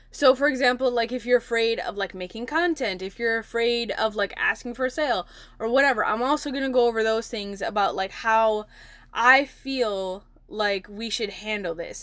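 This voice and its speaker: Heard on a very clean recording with a silent background, an ordinary speaking voice with an American accent keeps a moderate pace and ordinary pitch variation. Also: woman, fairly high pitch for a woman. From Milwaukee, Wisconsin, US. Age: 20s. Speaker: podcast host and entrepreneur. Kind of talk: casual solo podcast talk. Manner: chatty, many fillers.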